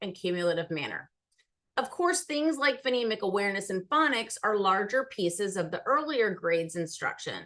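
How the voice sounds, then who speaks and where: Her pace is fairly quick and her pitch fairly high for a woman. The tone is bright and sharp, with very wide pitch swings. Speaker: literacy presenter. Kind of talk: presentation. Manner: fast.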